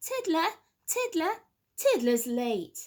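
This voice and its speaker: A woman puts on a squeaky character voice at an extremely high pitch, swinging very widely up and down. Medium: read story. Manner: sing-song, schoolteacherly.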